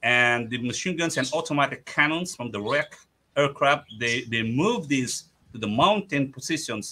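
A man with a bright, sharp tone and fairly high pitch talks at a moderate pace with ordinary pitch variation over light background noise. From Philippines. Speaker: museum founder and historian; guest. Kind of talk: interview with slide presentation. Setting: video call from his museum. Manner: hesitant, many fillers.

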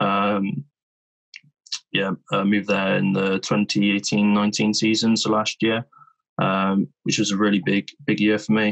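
Against a quiet background, the speech moves at a fairly slow pace with long, frequent pauses, very even loudness and fairly even intonation. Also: man, fairly low pitch for a man. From England, Bristol; England. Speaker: rugby player; interviewee. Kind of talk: interview. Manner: halting, many repetitions. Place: home room. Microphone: video call.

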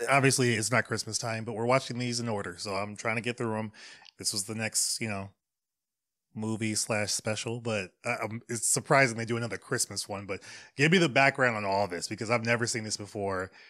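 There is music in the background. A man speaks over it at a fairly quick pace. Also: ordinary pitch variation. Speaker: reaction video host. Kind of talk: casual vlog chat. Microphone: studio mic.

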